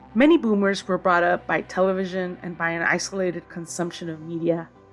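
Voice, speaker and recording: Over music in the background, a woman speaks at a moderate pace with a fairly low pitch and fairly even intonation. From Tijuana / San Ysidro border region. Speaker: media studies commentator. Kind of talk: personal essay read aloud.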